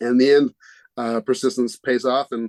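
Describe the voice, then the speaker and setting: A man with an American accent speaks at a moderate pace and medium pitch, with fairly even intonation. The sound is dry and close, with no echo. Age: 60s. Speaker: board game company founder. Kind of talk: interview. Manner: halting, many fillers.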